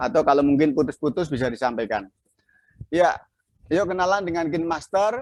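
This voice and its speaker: A man with a Javanese accent talks at a fairly quick pace, using lively intonation. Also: fairly high pitch for a man. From Central Java, Klaten. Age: 50s. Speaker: video editing instructor. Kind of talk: online class tutorial. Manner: halting.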